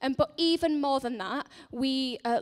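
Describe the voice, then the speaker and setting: A woman with a Yorkshire accent talks at a moderate pace on a very clean recording with a silent background. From northern England, Leeds. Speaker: charity centre manager. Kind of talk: church announcement talk. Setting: church service. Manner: hesitant with many fillers.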